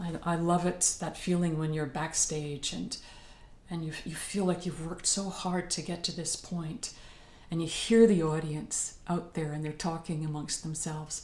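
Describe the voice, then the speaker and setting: Recorded with audible room echo, a woman speaks at a moderate pace in a fairly low, somewhat breathy voice with fairly even intonation. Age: 60s. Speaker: professional singer. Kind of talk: talk to a group.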